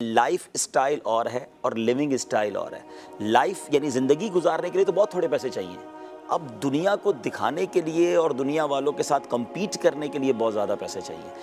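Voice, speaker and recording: Music plays in the background as a man speaks. His fairly high pitch rises and falls in lively intonation. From Karachi, Pakistan. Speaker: Islamic scholar and preacher. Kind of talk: interview answer.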